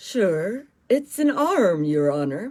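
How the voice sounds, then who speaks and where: Someone puts on a character voice, fairly high in pitch, with very wide pitch swings. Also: female-sounding voice. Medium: read story. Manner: deferential.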